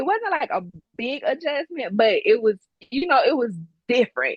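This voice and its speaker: A woman with a strong Deep South accent and very wide swings in pitch. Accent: strong Southern twang, Mississippi-Alabama. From Mississippi, Gulfport. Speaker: business owner and military veteran. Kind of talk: casual interview.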